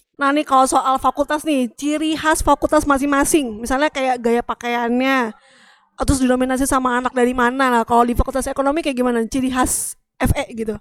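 A woman talks at a fairly quick pace with a high pitch and fairly even intonation. The sound is dry and close, with no echo. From Greater Jakarta area. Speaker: podcast co-host. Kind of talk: casual chat.

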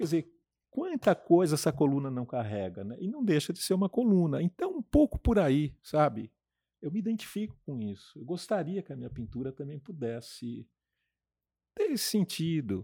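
A man with a fairly high pitch and a dark, mellow tone speaks at a moderate pace, with very wide pitch swings and big swings in loudness. The recording is very clean with a silent background. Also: dry, close sound with no echo. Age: 60s. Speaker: painter. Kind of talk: interview.

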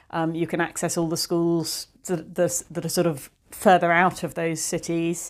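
A woman in a southern English accent, fairly low in pitch, fairly slow, monotone and flat, with hardly any pauses, on a very clean recording with a silent background. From England, Cotswolds. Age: 40s. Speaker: art dealer. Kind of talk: casual interview chat. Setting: at her home.

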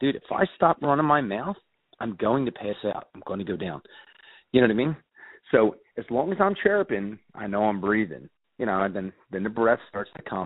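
An ordinary speaking voice with an American accent, lively intonation and big swings in loudness. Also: man, fairly low pitch for a man. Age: 40s. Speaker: podcast co-host, amateur hockey player. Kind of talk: casual chat. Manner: fast.

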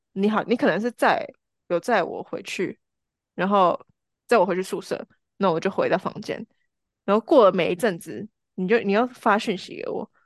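Moderate pace with long, frequent pauses, a dry, close sound with no echo, and a quiet background. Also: woman, medium pitch for a woman, ordinary pitch variation. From Taiwan, Changhua and Taichung. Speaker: marketing professional, podcast guest. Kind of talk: casual chat.

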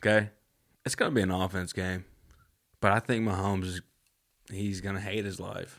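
A man with a fairly low pitch and flat, monotone intonation, at a fairly quick pace with long, frequent pauses, on a very clean recording with a silent background. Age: 20s. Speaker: podcast guest. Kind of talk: casual chat.

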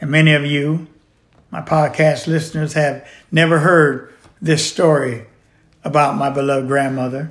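A man's fairly high, monotone voice with flat intonation at a moderate pace, with long, frequent pauses, on a very clean recording with a silent background. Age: 70s. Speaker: podcast host and author. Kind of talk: solo monologue, reading from own book. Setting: home recording studio.

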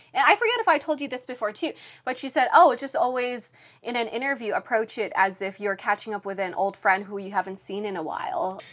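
This woman speaks fairly quickly in a high voice, sounding animated with lively intonation. Noticeable background noise is present. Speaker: entertainment news reporter and TV host. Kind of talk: casual chat. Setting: podcast interview. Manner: animated, laughs often.

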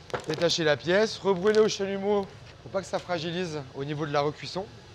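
A man speaks at a moderate pace in a high voice with ordinary pitch variation, over noticeable background noise. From Auvergne, France. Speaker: glassblower. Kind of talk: casual chat. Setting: hot workshop with furnace and fans. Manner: hesitant.

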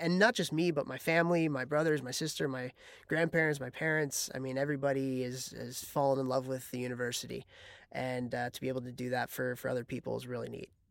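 Very fast and fairly even in intonation, a man speaks with an American accent. The recording is very clean, with a silent background. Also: medium pitch for a man. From US Midwest, Chicago. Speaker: former college hockey player and coach. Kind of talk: casual interview.

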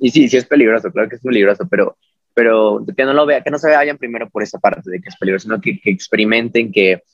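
Speaking very fast in a central Mexican accent, a man with a medium pitch uses lively intonation, the sound dry and close with no echo. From Mexico, Puebla. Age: 20s. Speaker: figure skater. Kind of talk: casual interview.

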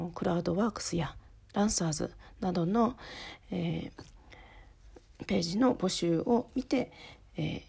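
Somewhat breathy and dark, mellow in tone, a woman speaks at a fairly slow pace with long, frequent pauses. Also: medium pitch for a woman. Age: 30s. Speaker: podcast host, office worker and home-based freelancer. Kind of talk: casual solo podcast talk. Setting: recording at home at night while child sleeps. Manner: halting, with many fillers.

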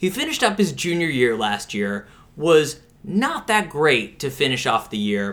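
With an American accent, a man talks at a moderate pace. His pitch is fairly high, with very wide pitch swings. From Pittsburgh, US. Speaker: sports podcast co-host. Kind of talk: casual chat.

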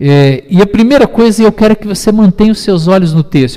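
His intonation is lively. This man's voice is high-pitched. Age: 50s. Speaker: pastor. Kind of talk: sermon.

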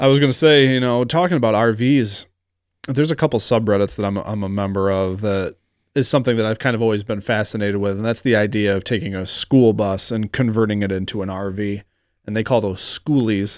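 Speaking at a fairly quick pace, a man with a fairly low pitch and ordinary pitch variation is heard on a very clean recording with a silent background. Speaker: podcast co-host and editor. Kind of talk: casual banter. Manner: loud talker.

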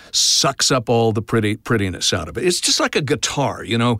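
A man with an American accent and a plain, everyday voice speaks at a medium pitch and moderate pace with ordinary pitch variation, the sound dry and close with no echo on a very clean recording with a silent background. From Oklahoma, US. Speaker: voice actor. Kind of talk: interview.

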